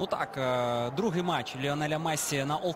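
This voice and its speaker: A man with a fairly high pitch and ordinary pitch variation talks while background noise is clearly audible. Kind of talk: live football commentary, co-commentator.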